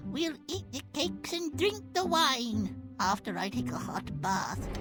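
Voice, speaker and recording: A woman speaks at a fairly slow pace in a put-on character voice, with clear music in the background. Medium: game stream. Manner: dry, composed.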